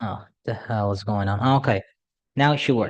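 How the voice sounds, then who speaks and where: A man speaks at a moderate pace in a medium pitch with ordinary pitch variation. The background is quiet. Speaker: math tutor. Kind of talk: tutorial. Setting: at a school. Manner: quiet, held back; casual, hesitant with fillers.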